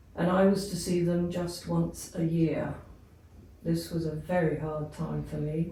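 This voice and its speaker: A woman talks rather slowly. Her voice carries an audible echo from the room. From England. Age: 80s+. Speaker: abuse survivor. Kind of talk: testimony.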